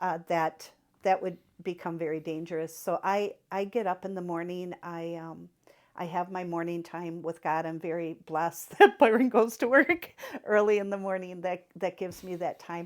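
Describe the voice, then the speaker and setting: On a very clean recording, silent background, a woman with a plain, everyday voice and fairly low pitch speaks at a moderate pace with fairly even intonation and big swings in loudness. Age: 60s. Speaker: church member interviewee. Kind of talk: casual chat.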